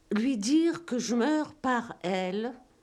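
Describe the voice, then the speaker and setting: A woman speaks at a very slow pace in a high pitch with lively intonation. Her tone is dark and mellow. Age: 70s. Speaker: novelist. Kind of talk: interview monologue. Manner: halting.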